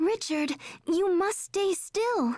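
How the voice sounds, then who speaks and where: This is a put-on character voice. It sounds squeaky, with an extremely high pitch. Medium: video game. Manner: earnest.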